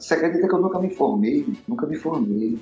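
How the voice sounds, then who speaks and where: A man's high-pitched, very fast speech with very wide pitch swings over noticeable background noise. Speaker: musician and bandleader. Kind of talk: casual interview chat.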